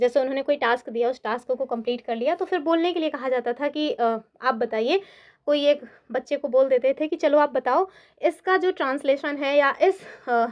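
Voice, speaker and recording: A woman at a high pitch and moderate pace, with ordinary pitch variation. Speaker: online exam-prep teacher. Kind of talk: online lecture. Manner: conversational.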